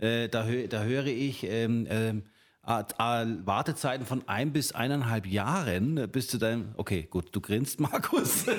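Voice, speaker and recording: Against a silent background on a very clean recording, a man speaks at a very slow pace with very even loudness. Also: medium pitch for a man, ordinary pitch variation. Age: 50. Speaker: real estate agent. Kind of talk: casual chat.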